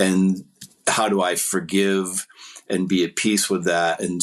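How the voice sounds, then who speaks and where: The intonation is monotone and flat. The pace is very slow. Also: man. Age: 60s. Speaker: musician and public speaker on divorce. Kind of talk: podcast interview. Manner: halting, many fillers and repetitions.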